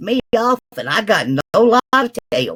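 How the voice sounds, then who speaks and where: The speaker has a Southern accent. The pace is very slow. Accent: Southern, mocked as hillbilly. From US South. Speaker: live-stream chat participant. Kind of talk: casual chat.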